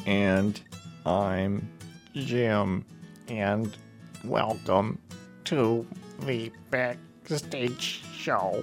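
A put-on character voice with a low pitch speaks at a very slow pace. Clear music plays in the background. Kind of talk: radio host. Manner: spooky, exaggerated.

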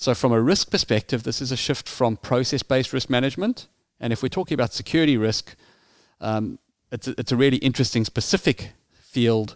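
Recorded very cleanly with a silent background and a dry, close sound with no echo, a man with a South African accent speaks at a fairly quick pace and a medium pitch, with ordinary pitch variation. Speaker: security risk consultant. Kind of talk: interview.

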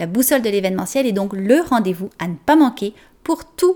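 A woman speaks in a dark, mellow tone. Her pitch swings very widely. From France. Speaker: podcast host and event planner. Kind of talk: scripted narration.

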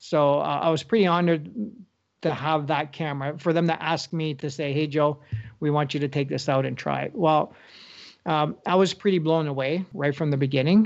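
A man in a Northern Ontario accent talks at a moderate pace with fairly even intonation. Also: fairly high pitch for a man. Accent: Canadian (Northern Ontario). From Northern Ontario, Canada (Sault Ste. Marie). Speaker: wildlife photographer. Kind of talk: casual interview.

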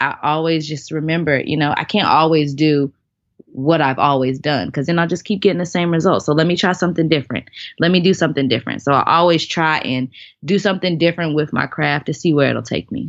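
A woman with a very deep, low voice speaks at a fairly quick pace with ordinary pitch variation. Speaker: professional dancer and nonprofit founder. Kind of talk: casual interview chat. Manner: calm, reserved.

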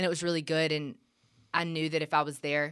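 Talking at a very fast pace with a Southern US accent, a woman with a very deep, low pitch keeps a monotone, flat intonation on a very clean recording with a silent background. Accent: Southern US (Georgia). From US South, middle Georgia (Gray, near Macon). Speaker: church ministry resident. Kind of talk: casual interview. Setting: studio, sitting across from host.

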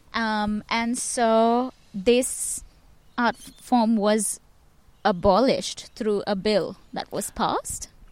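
A woman speaks with a fairly high pitch and a flat, monotone delivery. Her pace is very slow. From India. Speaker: performance maker and curator. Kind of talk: casual interview. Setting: outdoors in a park. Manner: hesitant, many fillers.

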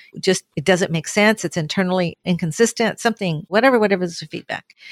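At a fairly quick pace, a woman with an American accent talks at medium pitch with ordinary pitch variation, the sound dry and close with no echo. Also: very clean recording, silent background. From Southern California. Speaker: retired petroleum engineer and energy official. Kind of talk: interview.

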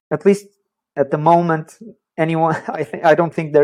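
In a Portuguese accent, a man talks at a fairly quick pace. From Portugal. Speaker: social prescribing worker, sports psychologist. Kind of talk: interview.

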